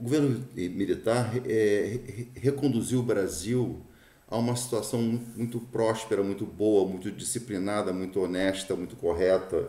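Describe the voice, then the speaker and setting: With audible room echo, a man speaks at a fairly slow pace in a dark, mellow tone of medium pitch with fairly even intonation. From Brazil. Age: 60s. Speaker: political commentator. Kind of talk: opinion monologue. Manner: halting, frequent fillers and repetitions.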